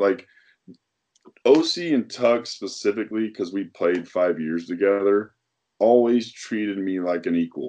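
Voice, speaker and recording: Here a man speaks at a fairly slow pace. His pitch is fairly low. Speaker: former NFL defensive end. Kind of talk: casual interview.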